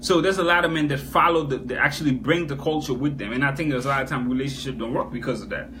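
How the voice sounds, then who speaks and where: Amid noticeable background noise and audible room echo, a man speaks at a very fast pace with hardly any pauses and ordinary pitch variation. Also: fairly high pitch for a man. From Haiti. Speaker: talk show host. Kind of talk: live-streamed talk show discussion.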